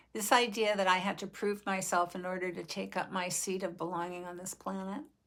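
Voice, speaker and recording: Speaking at a fairly quick pace, a woman with a medium pitch keeps a fairly even intonation but has big swings in loudness, on a very clean recording with a silent background. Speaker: vlogger. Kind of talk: personal reflection. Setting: video recording.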